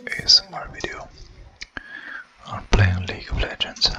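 Someone is whispering. The pace is moderate. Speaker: ASMR content creator. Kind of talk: ASMR gameplay commentary. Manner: whispered, soft. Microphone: studio mic.

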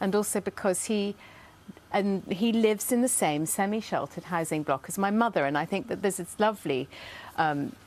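With lively intonation, a woman talks in a dry recording that has no echo. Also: fairly quick pace. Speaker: talk show guest. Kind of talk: talk show discussion. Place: studio. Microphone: lapel.

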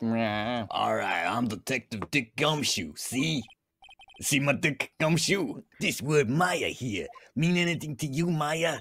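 A man's fairly high voice, very slow in pace, with lively intonation. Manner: blunt, jumps to conclusions.

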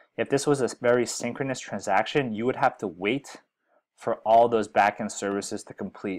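A normal speaking voice from a man, with ordinary pitch variation, a moderate pace and a quiet background. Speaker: software educator. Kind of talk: tutorial. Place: home room.

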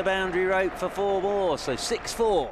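Crowd noise fills the background as a man speaks at a moderate pace. His voice is high. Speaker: cricket commentator. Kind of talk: live cricket commentary. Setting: commentary box at the ground. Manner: fluent, measured, bursts of excitement on wickets and big shots.

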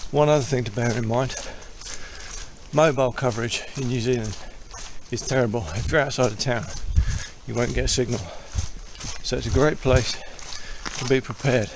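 Over noticeable background noise, a man speaks at a fairly quick pace with fairly even intonation, the sound dry with no echo. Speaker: hiker vlogger. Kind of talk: casual vlog chat. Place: forest. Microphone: phone near.

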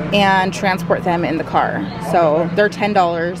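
A woman speaks at a fairly slow pace. The sound is dry with no echo, but background noise is noticeable. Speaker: mom vlogger. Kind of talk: casual vlog chat. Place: shop. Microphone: phone near.

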